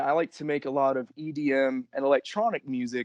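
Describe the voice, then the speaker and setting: A man with a normal speaking voice, lively intonation and moderate pace, in a dry, close sound with no echo and a quiet background. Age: 20s. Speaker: professional wrestler. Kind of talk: interview.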